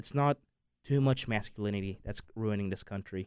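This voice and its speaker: This man has an unremarkable speaking voice with a fairly low pitch and ordinary pitch variation. He talks at a fairly quick pace. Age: young. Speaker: finance student. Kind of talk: casual chat.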